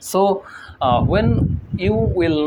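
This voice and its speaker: A man speaks with a Bengali accent. Noticeable background noise is present. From Bangladesh. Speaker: English learning youtuber. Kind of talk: tutorial. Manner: halting, with fillers and repetitions.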